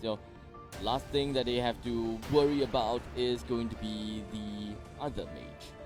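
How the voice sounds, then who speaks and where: Music plays in the background as the speaker moves at a fairly slow pace with lively intonation. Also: man, medium pitch for a man. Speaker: esports shoutcaster (play-by-play commentator). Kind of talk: esports match commentary.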